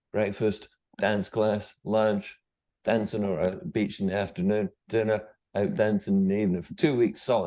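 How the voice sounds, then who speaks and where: A man with a Scottish accent speaks at a moderate pace in a fairly low pitch, with a dark, mellow tone and ordinary pitch variation, against a quiet background. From Scotland. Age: 60s. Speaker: guest, Second World War speaker. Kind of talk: interview.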